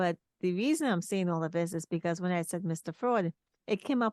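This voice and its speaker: In a Trinidadian accent, a woman speaks with lively intonation, the sound dry and close with no echo against a quiet background. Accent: Trinidadian island twang. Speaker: talk show host and author. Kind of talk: interview conversation.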